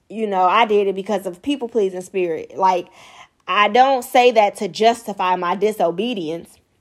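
An ordinary speaking voice with an American accent moves at a moderate pace with ordinary pitch variation. The recording is very clean, the background silent. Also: woman, medium pitch for a woman. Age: 20s. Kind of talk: devotional teaching monologue.

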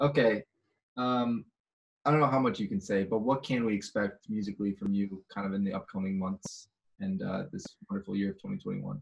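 In an ordinary speaking voice, a man with an American accent talks at a fairly quick pace, his pitch fairly low and his intonation lively. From US Midwest, Chicago. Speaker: singer-songwriter, podcast host. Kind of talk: casual interview. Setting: video call.

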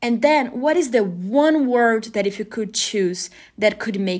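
A woman talks at a fairly slow pace with a non-native accent. Her pitch is fairly high and her intonation lively. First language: not English. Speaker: podcast host. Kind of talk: casual solo podcast monologue.

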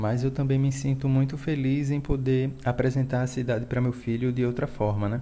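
With noticeable background noise behind him, a man speaks at a moderate pace with monotone, flat intonation and very even loudness. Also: medium pitch for a man, hardly any pauses. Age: 30s. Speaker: cyclist father. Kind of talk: recorded testimony.

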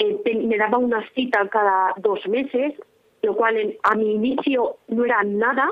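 A woman's high voice, with ordinary pitch variation, unfolds at a fairly slow pace. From Spain, Valladolid province. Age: 20s. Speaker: young woman recovering from anorexia. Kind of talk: personal testimony interview.

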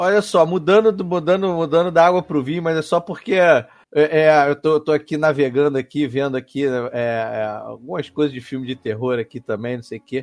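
An unremarkable speaking voice, a man's, fairly high in pitch with ordinary pitch variation, moves at a moderate pace with hardly any pauses and sounds dry and close with no echo. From Brazil, Petrópolis (Rio de Janeiro state). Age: 30s. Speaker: radio host and podcast guest. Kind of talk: casual chat.

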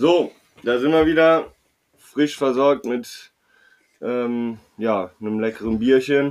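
Talking at a very slow pace with long, frequent pauses, a man keeps a medium pitch with ordinary pitch variation. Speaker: podcast host. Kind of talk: casual chat.

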